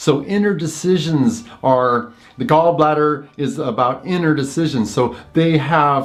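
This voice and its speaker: Speaking at a fairly slow pace, a man uses lively intonation and a fairly high pitch. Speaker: Chinese medicine practitioner and teacher. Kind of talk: lecture. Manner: halting, with fillers and repetitions.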